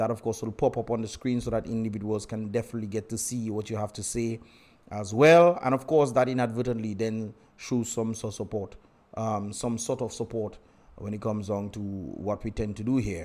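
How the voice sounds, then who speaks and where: On a very clean recording with a silent background, a man speaks at a medium pitch and fairly quick pace with fairly even intonation. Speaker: livestream host and political commentator. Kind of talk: live stream chat. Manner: fast.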